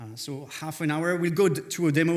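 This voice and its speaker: A man with a French accent, in audible room echo. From France. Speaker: conference speaker, developer relations lead. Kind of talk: conference talk. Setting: stage with audience.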